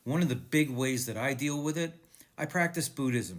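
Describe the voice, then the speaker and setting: A man in an unremarkable speaking voice talks with ordinary pitch variation. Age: 60s. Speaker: video blogger and author, cancer survivor. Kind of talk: casual talk to camera.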